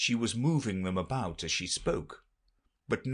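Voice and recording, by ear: This is reading aloud in a natural voice, with lively intonation. The background is quiet.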